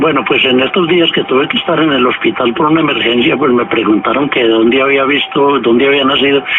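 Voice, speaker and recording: With noticeable background noise, a man with a fairly high pitch talks at a very fast pace. He keeps very even loudness and hardly any pauses. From Colombia, Pereira. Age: 70s. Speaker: writer and journalist. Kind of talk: radio interview.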